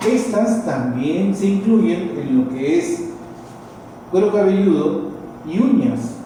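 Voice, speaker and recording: A man speaks at a very slow pace with long, frequent pauses, his high pitch swinging very widely while loudness stays very even. Room echo and noticeable background noise are audible. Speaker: university lecturer. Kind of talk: lecture. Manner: deliberately slower today.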